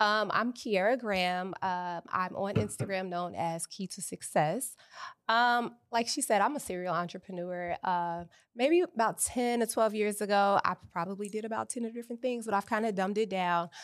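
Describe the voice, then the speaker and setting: With an American accent, a woman speaks at medium pitch and a moderate pace, using ordinary pitch variation. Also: very clean recording, silent background. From Chicago. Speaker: entrepreneur and author. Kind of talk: interview. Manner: hesitant, many fillers.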